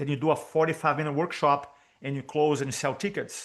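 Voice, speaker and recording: With a Brazilian Portuguese accent, a man talks at a very fast pace. His pitch is fairly high, and the background is quiet. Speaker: public speaking coach. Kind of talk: podcast interview.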